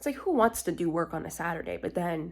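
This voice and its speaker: A woman's fairly low, fairly quick voice with vocal fry, in a Canadian accent. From Canada. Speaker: theatre student vlogger. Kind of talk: casual vlog. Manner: casual, filler-heavy.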